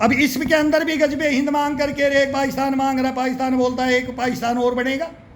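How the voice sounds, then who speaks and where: With noticeable background noise and audible room echo, a man speaks in an extremely high pitch. He keeps a moderate pace with hardly any pauses. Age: 60s. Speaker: political commentator. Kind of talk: political rant. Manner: animated.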